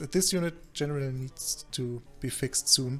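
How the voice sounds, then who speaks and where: Somewhat breathy, a man with a German accent speaks at a medium pitch with ordinary pitch variation. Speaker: video game coach and commentator. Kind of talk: game replay commentary. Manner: halting, many fillers.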